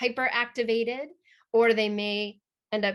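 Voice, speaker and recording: A normal speaking voice moves at a moderate pace against a quiet background. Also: woman. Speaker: trauma therapy trainer. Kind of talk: webinar talk.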